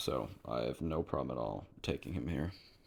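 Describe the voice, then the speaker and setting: A man with vocal fry speaks at a moderate pace. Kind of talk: casual sports commentary to camera.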